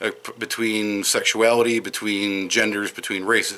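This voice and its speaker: This man has a slight Wisconsin accent and a fairly low pitch. His tone is bright and sharp, his intonation fairly even, and his pace fairly slow. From Madison, Wisconsin. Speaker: vlogger. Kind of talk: casual monologue. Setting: outdoors. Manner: hesitant, with fillers.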